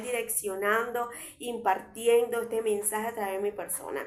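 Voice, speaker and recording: A woman's fairly high voice with audible room echo. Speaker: preacher. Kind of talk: sermon. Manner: loud. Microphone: viewers say audio is very quiet.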